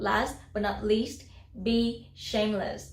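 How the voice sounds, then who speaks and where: This woman speaks with a slight non-native accent. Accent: near-native English. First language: non-native English speaker. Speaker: YouTuber, self-taught English learner. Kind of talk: casual talk to camera.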